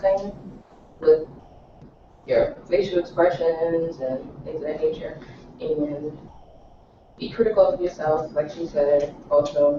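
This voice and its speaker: Noticeable background noise runs through the clip. Over it, a woman speaks with lively intonation. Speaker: adult class student. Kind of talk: class discussion.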